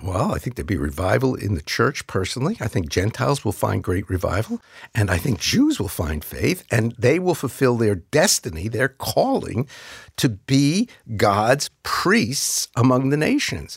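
A man with an American accent speaks at medium pitch with very wide pitch swings and vocal fry. The sound is dry and close, with no echo. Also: moderate pace, very clean recording, silent background. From US Northeast, New York City. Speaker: pastor. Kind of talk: interview.

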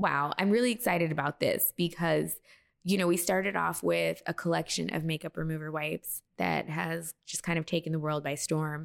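An ordinary speaking voice, a woman with an American accent and fairly low pitch talks at a moderate pace with lively intonation. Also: very clean recording, silent background. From Texas. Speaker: beauty brand founder and former makeup artist. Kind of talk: interview.

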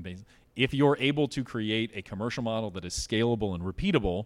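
An ordinary speaking voice belongs to this man, who talks at a fairly quick pace with a fairly low pitch and ordinary pitch variation, in a very clean recording with a silent background. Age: 40s. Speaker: CEO of a solar energy company. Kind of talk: onstage interview. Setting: stage with live audience.

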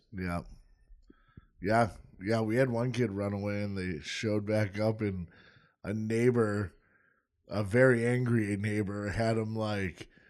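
Music plays behind a man who speaks very slowly, with long, frequent pauses. His pitch is fairly low and his intonation fairly even. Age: 30s. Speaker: podcast co-host. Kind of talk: casual chat.

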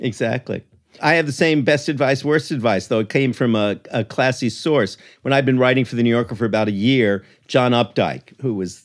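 At a fairly quick pace, a man with a normal speaking voice talks with ordinary pitch variation on a very clean recording with a silent background. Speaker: writer and author. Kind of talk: casual interview chat.

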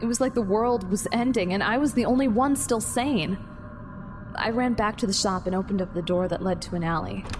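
A woman talks at a fairly quick pace with ordinary pitch variation. Music plays behind her. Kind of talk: dramatic first-person audio drama narration.

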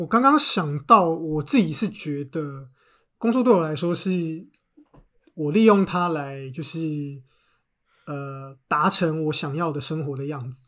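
At a very slow pace, a man with a fairly high pitch speaks with big swings in loudness on a very clean recording with a silent background. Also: ordinary pitch variation. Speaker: book editor turned podcaster. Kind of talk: casual chat.

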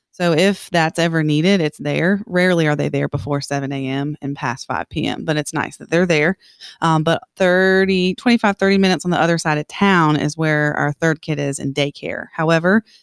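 On a very clean recording with a silent background, a woman with an American accent uses a normal speaking voice at a fairly low pitch and fairly quick pace, with ordinary pitch variation in a dry, close sound with no echo. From South Carolina (Columbia). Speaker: teacher. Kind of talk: interview.

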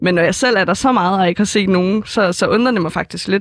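A woman talks at medium pitch and a fairly quick pace, with ordinary pitch variation. The sound is dry and close, with no echo. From Denmark, Helsingør. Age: young. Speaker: first-time voter. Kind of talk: interview. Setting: studio. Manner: halting, many fillers.

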